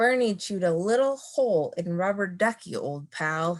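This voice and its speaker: Using a put-on character voice, a woman rumbles at a medium pitch and a moderate pace. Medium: read story. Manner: grumbling.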